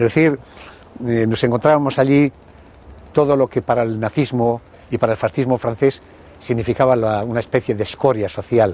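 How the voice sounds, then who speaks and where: Pausing long and often, a man talks at a moderate pace and medium pitch, his dark, mellow tone set in fairly even intonation. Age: 70s. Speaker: former communist militant. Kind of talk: interview testimony.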